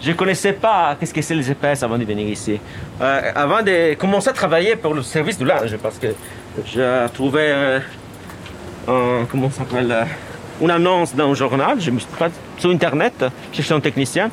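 A man with an Italian accent at a moderate pace, lively intonation and long, frequent pauses, over noticeable background noise. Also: fairly high pitch for a man. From Italy. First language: Italian (speaking French). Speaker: laundry supervisor. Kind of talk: casual chat. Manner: halting.

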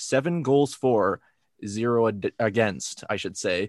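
Against a quiet background, a normal speaking voice shows ordinary pitch variation. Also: man. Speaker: podcast host. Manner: casual, conversational.

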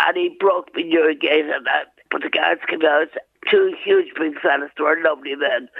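A woman with a rural Irish accent at a moderate pace. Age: 70s. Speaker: crime victim. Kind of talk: recorded interview, testimony. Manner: halting.

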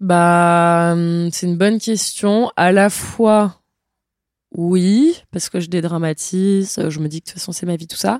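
Her loudness swings widely as this woman talks very slowly at a fairly low pitch with fairly even intonation. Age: 20s. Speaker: traveler. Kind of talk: interview. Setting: at the host's home.

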